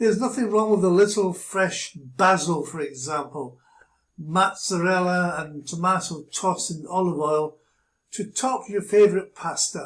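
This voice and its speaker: Speaking with a Glasgow accent, a man talks at a fairly slow pace in a high pitch. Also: ordinary pitch variation. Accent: Scottish (Glasgow). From Glasgow, Scotland. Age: 80s+. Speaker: businessman. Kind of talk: casual talk to camera.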